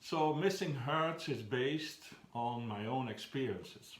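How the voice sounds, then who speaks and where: With a Flemish accent and lively intonation, a man speaks at a very slow pace and medium pitch, with audible room echo around him. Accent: Flemish Dutch accent in English. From Belgium (Flanders). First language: Flemish Dutch. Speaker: children's book author. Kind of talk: talking about his own book. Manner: halting, with frequent fillers.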